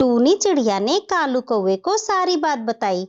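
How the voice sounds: Her voice is high, with big pitch swings. This woman keeps to a fairly slow pace.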